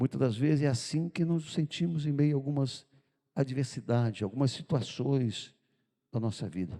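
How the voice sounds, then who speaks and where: A man speaks with a fairly high pitch and a dark, mellow tone. His pace is moderate, with ordinary pitch variation. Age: 70s. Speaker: pastor. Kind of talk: sermon. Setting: church.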